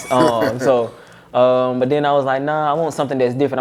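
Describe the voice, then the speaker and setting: The man's intonation stays fairly even, with noticeable background noise underneath. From Georgia, US South. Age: 20s. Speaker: barber and motivational speaker. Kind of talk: casual interview.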